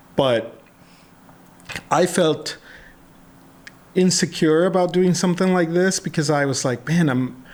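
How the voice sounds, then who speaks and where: A man with a Spanish accent and a high pitch speaks at a fairly slow pace, with long, frequent pauses, very even loudness and ordinary pitch variation. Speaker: podcast host. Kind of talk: casual interview chat. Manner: halting.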